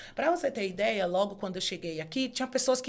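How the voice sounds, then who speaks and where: This is a woman speaking. She talks at a fairly quick pace. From Brazilian Northeast, Bahia (Feira de Santana area). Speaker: law professor and author. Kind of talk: casual interview chat.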